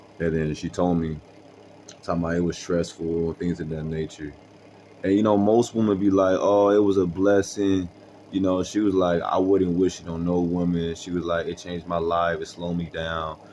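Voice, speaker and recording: A very deep, low-pitched man's voice, monotone and flat, at a moderate pace. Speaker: storytelling vlogger. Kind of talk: casual storytelling monologue. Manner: casual, halting with fillers.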